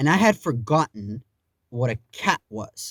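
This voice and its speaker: An animated man with very wide pitch swings, dry, close sound with no echo, and a very clean recording with a silent background. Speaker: YouTuber. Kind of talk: storytime monologue. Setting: home. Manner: stuttering.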